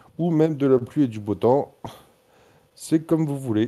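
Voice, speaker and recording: The man's tone is dark and mellow. His intonation is lively. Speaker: online server moderator. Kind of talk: announcements. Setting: video call.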